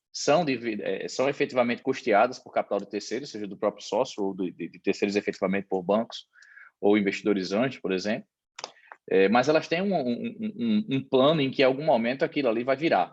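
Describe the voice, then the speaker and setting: A man at medium pitch speaks at a fairly quick pace with lively intonation against a quiet background. His loudness swings widely. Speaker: accountant and business consultant. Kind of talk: online presentation. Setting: video call. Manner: fast.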